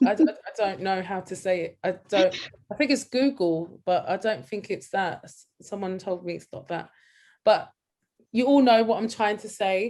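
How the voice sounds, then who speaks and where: Using a London accent, a woman talks at a moderate pace with a medium pitch, lively intonation and big swings in loudness. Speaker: art workshop tutor. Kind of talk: online tutorial.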